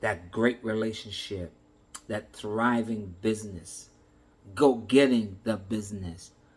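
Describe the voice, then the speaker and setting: This man's fairly low voice is somewhat breathy. He speaks at a very slow pace with fairly even intonation. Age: 60s. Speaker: motivational speaker. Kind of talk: motivational talk.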